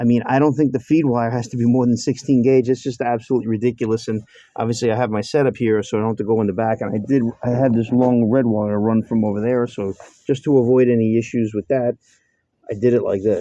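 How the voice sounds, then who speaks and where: Talking very fast in a monotone, flat intonation, a man with a New York accent has a dark, mellow tone. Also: medium pitch for a man. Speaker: mechanic. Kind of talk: workshop tutorial. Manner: casual, halting with fillers.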